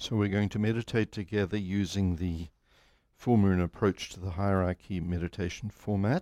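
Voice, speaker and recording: A man with a fairly low pitch speaks in a calm tone that is also dark and mellow, with fairly even intonation. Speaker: meditation group leader. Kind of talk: guided meditation. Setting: live group meeting broadcast online. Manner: slow, calm, measured; formal, solemn.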